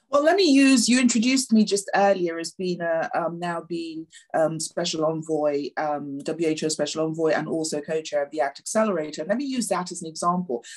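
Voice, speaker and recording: With a British accent, a woman speaks at a fairly quick pace and fairly low pitch, with lively intonation, hardly any pauses and a quiet background. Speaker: health envoy. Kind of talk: panel discussion. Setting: video call. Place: home room. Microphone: webcam.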